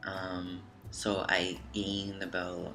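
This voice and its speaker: A room's echo can be heard clearly around a man as he talks. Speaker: vlogger documenting gender transition. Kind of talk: casual vlog update. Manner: hesitant, many fillers.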